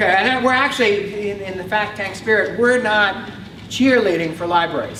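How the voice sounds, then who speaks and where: A man's raised, projected voice in a New York accent, high in pitch with ordinary pitch variation, with audible room echo and noticeable background noise. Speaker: research director and speaker. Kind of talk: conference talk. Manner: fast.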